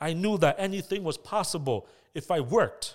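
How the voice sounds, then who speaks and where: A man speaks with a Toronto accent, his pitch high and his intonation lively. The recording is very clean, with a silent background. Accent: Toronto Canadian English. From Canada, Scarborough (Toronto). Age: 30s. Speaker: podcast host. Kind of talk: motivational monologue.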